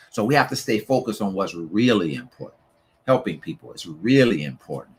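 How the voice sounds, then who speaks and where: Vocal fry runs through a man's fairly low voice, which swings very widely in pitch at a moderate pace. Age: 60s. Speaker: motivational speaker and author. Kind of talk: motivational talk. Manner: repetitive, emphatic.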